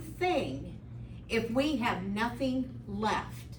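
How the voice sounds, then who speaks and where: Noticeable background noise and audible room echo around a woman's voice with an American accent. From US Midwest, central Illinois. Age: 60s. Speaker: resident speaking at public comment. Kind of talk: public comment at a county meeting. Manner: impassioned.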